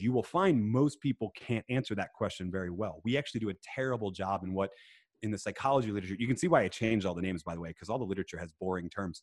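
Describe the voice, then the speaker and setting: In an American accent, a man with a medium-pitched voice talks very fast with lively intonation, the sound dry and close with no echo on a very clean recording against a silent background. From US Northeast, Philadelphia. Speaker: author and speaker. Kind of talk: casual interview.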